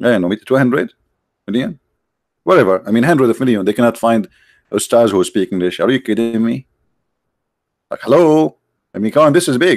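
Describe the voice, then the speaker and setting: Speaking fairly quickly in an Arabic accent, a man at medium pitch uses lively intonation broken by long, frequent pauses, in a dry, close sound with no echo. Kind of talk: heated debate. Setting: Skype call livestream. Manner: animated; mocking.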